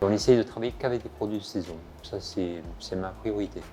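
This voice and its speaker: A man with a fairly low pitch and a dark, mellow tone speaks with fairly even intonation. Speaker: chef. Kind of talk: guided kitchen tour.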